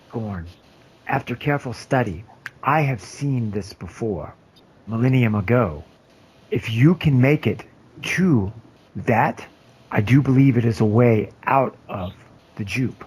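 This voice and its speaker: A man talks in a put-on character voice at a medium pitch. His pace is fairly slow, with long, frequent pauses. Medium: actual play. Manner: formal, measured.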